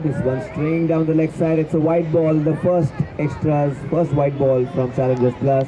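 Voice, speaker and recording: An animated, excited tone at a moderate pace, with very even loudness and crowd noise in the background. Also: man, fairly high pitch for a man. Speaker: cricket commentator. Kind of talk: live commentary. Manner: animated, excited ball-by-ball calls with rising 'Oh!' exclamations.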